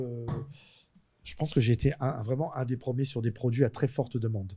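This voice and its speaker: Against a quiet background, a man talks at a moderate pace and medium pitch in a dark, mellow, somewhat breathy tone. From France. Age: 50s. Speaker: convicted fraudster; interview guest. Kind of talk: interview storytelling. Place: studio. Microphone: studio mic.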